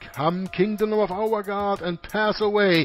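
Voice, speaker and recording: Music plays in the background. A man speaks very slowly at a high pitch. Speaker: reader of religious poetry. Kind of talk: dramatic poetry reading with background music.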